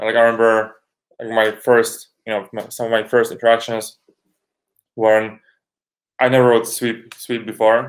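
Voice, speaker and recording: A man with a Polish accent speaks at a medium pitch in a monotone, flat intonation, leaving long, frequent pauses. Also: moderate pace. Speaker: rower. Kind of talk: interview. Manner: halting.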